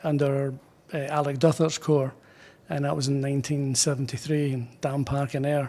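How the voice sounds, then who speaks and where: With a Scottish accent, a man is talking. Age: 60s. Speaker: pipe band drummer. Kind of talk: interview. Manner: halting.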